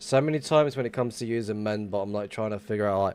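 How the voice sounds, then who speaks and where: A man's fairly low voice with an English accent, at a very fast pace. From England. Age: 30s. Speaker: gaming streamer. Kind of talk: casual live-stream chat.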